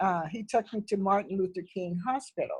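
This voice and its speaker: Somewhat breathy, a woman speaks at a fairly slow pace. Her pitch variation is ordinary. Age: 70s. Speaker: church member giving testimony. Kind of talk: testimony. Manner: halting.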